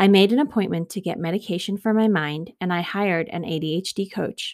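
On a very clean recording with a silent background, a woman with an American accent speaks at a moderate pace in a medium pitch with ordinary pitch variation. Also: dry, close sound with no echo. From South Africa (Johannesburg) until 12, then California. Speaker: podcast host. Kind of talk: personal solo monologue.

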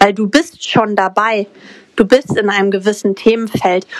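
Against noticeable background noise, a woman speaks at a medium pitch with fairly even intonation, in a dry, close sound with no echo. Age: 20s. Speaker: mindset coach and crypto entrepreneur. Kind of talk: podcast interview.

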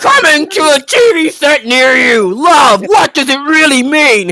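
Pitched high, a put-on character voice moves at a fairly slow pace. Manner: dramatic, announcer delivery.

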